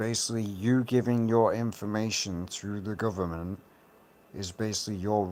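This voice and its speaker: A man speaks at a fairly slow pace with a British accent and fairly even intonation. The recording is very clean, with a silent background. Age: adult. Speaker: YouTuber. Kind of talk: rant.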